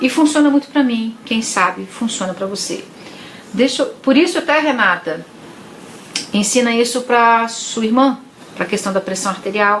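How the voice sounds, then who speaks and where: Noticeable background noise sits behind a woman with a fairly high pitch and lively intonation. She keeps a moderate pace but leaves long, frequent pauses. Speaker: psychologist. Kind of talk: live stream talk to viewers. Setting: live stream.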